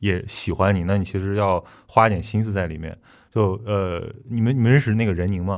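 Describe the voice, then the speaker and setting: Speaking with fairly even intonation, a man uses a fairly low pitch. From Qingdao, Shandong. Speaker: podcast host. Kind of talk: casual chat. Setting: studio.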